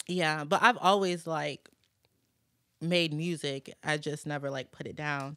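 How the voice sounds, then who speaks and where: In a very clean recording with a silent background, a woman with a very deep, low pitch speaks at a fairly slow pace, her intonation fairly even but her loudness swinging widely. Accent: American. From New Orleans, then Michigan and Virginia. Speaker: recording artist. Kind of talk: casual chat.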